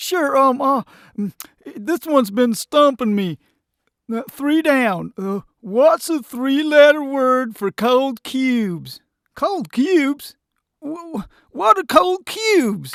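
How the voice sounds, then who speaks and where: A cartoonish character voice speaks at a high pitch and a fairly slow pace with long, frequent pauses. The recording is very clean, with a silent background. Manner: hesitant, rambling with fillers.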